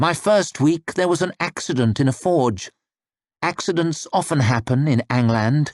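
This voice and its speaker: A man's put-on character voice, hissing at a fairly high pitch and a moderate pace, in a dry, close sound with no echo. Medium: read story. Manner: terse, grim.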